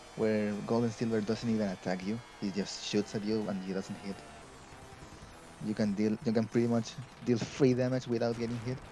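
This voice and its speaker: With a Spanish accent, a man at a fairly low pitch speaks at a moderate pace in a monotone, flat intonation, leaving long, frequent pauses. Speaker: speedrun commentator. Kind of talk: live commentary. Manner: halting, repeating words.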